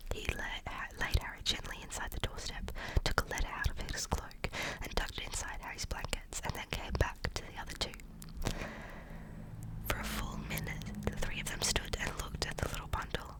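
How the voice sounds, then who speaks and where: A woman whispers at a moderate pace while noticeable background noise plays behind her. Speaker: ASMR creator. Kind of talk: ASMR book reading. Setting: outdoors. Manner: soft-spoken, calm.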